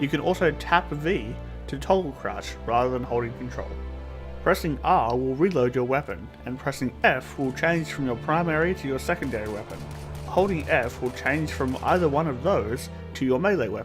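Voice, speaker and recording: Music plays in the background as a man speaks at a moderate pace and medium pitch, his pitch swinging very widely. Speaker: gaming YouTuber. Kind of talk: game tutorial narration.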